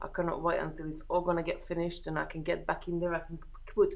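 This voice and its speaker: Here a woman speaks in a Hungarian accent at a very fast pace. Audible room echo surrounds her voice. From Hungary. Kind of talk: casual live-stream chat. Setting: live stream. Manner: relaxed, chatty.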